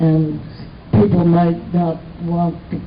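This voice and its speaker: In an American accent, a woman talks at a fairly slow pace and fairly low pitch, with noticeable background noise. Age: 80s+. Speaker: actress and author. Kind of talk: interview answer.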